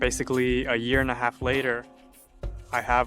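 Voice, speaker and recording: With music in the background, a man speaks at a medium pitch and a moderate pace, his intonation fairly even. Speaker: car restorer. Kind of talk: documentary interview answer.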